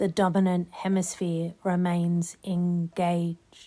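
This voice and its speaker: Over background music, a woman with a fairly low pitch speaks very slowly in a monotone, flat delivery. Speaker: hypnotist. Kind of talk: hypnosis session. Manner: flat, unmelodic, no emotional tone; slow, rhythmic.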